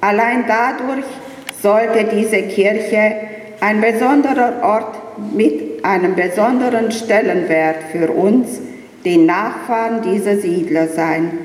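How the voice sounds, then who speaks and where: A woman with a fairly high pitch and ordinary pitch variation speaks at a very slow pace and a very even loudness, with noticeable background noise and audible room echo. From Romania, Banat (Banat Swabian village near Timișoara). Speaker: vice-chair of an expatriate association. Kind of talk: formal welcome speech; interview. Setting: church.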